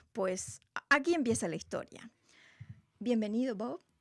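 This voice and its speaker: Using a Rioplatense accent, a woman talks at a fairly slow pace with a fairly high pitch, lively intonation and vocal fry. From Uruguay. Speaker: radio host. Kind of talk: radio show chat. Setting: radio studio, televised.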